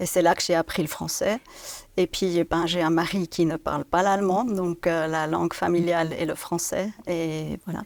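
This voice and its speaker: In a slight Swiss German accent, a woman speaks with a fairly low pitch and monotone, flat intonation on a very clean recording with a silent background. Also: fairly slow pace. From Switzerland, Biel/Bienne (German-speaking). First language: Swiss German (speaking French). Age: 50s. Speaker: business director. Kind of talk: interview. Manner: halting.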